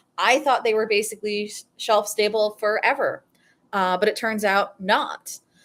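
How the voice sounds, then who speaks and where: A woman with an American accent and a plain, everyday voice, fairly high in pitch, at a moderate pace, in a very clean recording with a silent background. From New England, US. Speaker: political psychology youtuber. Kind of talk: live stream Q&A. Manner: casual, many fillers.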